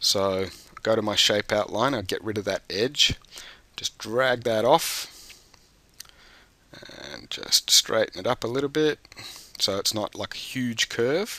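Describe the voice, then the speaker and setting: A man's medium-pitched voice at a fairly slow pace, with ordinary pitch variation, long, frequent pauses and noticeable background noise. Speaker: teacher trainer. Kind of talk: tutorial. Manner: hesitant, many fillers.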